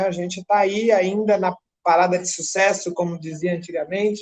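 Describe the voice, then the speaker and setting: A woman's fairly low voice at a moderate pace. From São Paulo, Brazil. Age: 50s. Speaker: advertising professional. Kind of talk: group discussion. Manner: halting.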